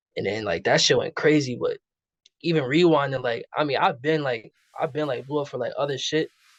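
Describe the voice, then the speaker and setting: A man speaking at a fairly quick pace, dry and close with no echo, over a quiet background. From New York City, Queens. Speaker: rapper. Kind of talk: casual interview chat. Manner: casual, filler-heavy.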